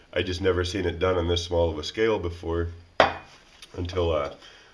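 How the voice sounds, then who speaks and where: A man talks in a very deep, low voice, with audible room echo around him. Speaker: DIY outdoors channel host. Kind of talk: tutorial. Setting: cold workshop. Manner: casual.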